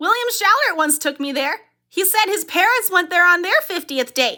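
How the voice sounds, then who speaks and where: A woman uses a squeaky, put-on character voice pitched extremely high. She sounds enthusiastic and keeps a moderate pace. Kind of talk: wholesome 1950s sitcom gee-whiz talk. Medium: cartoon. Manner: bright, enthusiastic.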